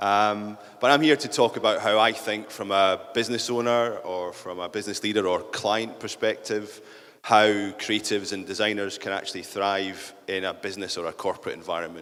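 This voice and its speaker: A man with a fairly low pitch talks at a fairly quick clip, his intonation fairly even. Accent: Scottish. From central Scotland. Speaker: business leader. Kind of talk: conference talk.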